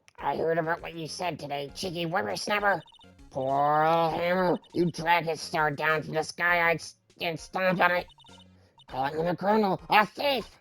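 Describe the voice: A strained, put-on character voice sits at a middle pitch and moves at a moderate pace. Faint music plays in the background.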